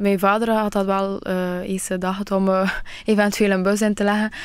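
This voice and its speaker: A woman is speaking. The sound is dry with no echo. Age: 20s. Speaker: beauty pageant finalist; radio guest. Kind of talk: radio interview. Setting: radio studio. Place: studio.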